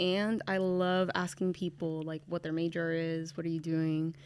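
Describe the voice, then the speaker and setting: On a very clean recording with a silent background, a woman with a Californian accent speaks at a moderate pace. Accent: Californian American English. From California (Bakersfield), from age six; born in Venezuela. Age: 20s. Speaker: university student and writing tutor. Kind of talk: casual interview chat.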